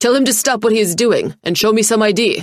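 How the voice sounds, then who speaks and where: A put-on character voice, female-sounding and fairly high in pitch, growls through its lines at a very fast pace. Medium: read story. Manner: serious, insistent.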